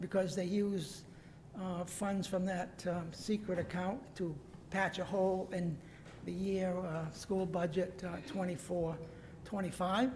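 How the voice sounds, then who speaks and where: Audible room echo and noticeable background noise fill the recording. A woman speaks at a fairly slow pace, with a medium pitch and fairly even intonation. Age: 70s. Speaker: member of the public speaking at council meeting. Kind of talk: public comment. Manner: halting, many fillers.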